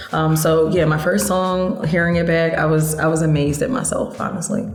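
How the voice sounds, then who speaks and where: A woman with an American accent, fairly low pitch, ordinary pitch variation, fairly quick pace and very even loudness, with audible room echo and music in the background. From Philadelphia, US. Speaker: singer-songwriter. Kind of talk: interview.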